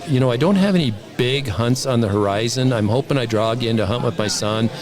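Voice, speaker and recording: Music plays in the background, and the room echo is audible. The talking moves at a fairly quick pace. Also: man. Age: 60s. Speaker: bow hunter. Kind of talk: casual chat. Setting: convention.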